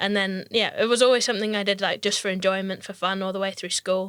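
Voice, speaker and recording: A very fast, flat monotone with a slight Scottish accent. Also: woman. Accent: only slight Scottish. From Scottish Highlands, near Inverness. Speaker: professional mountain bike racer. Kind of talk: casual interview chat.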